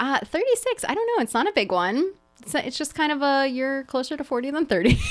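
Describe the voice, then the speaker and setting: With music in the background, a woman talks fairly quickly at a high pitch, her tone animated and her pitch swinging very widely. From New Jersey. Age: 30s. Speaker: real estate agent. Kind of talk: casual chat.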